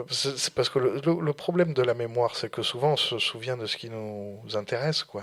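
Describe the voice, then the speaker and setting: Here a man speaks at a medium pitch and a moderate pace. He leaves hardly any pauses. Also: ordinary pitch variation. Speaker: student radio host. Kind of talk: casual discussion. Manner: halting, many hesitations.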